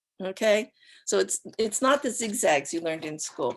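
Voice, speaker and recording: A woman speaks at a moderate pace, her pitch swinging very widely, with vocal fry. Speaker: acupuncture professor and author. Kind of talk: lecture. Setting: live online talk.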